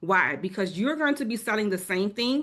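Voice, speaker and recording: With a New Orleans accent, a woman talks at a moderate pace and medium pitch, her intonation lively against a quiet background. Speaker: travel advisor. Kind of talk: webinar presentation.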